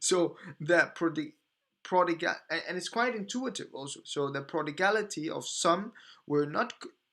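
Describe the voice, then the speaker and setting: A man speaks at a moderate pace with a non-native accent, his pitch high for a man and his intonation lively. His tone is bright and sharp, and the recording is very clean with a silent background. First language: not English. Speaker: podcast host. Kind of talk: reading aloud with commentary. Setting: live stream. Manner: halting, repeating words while reading.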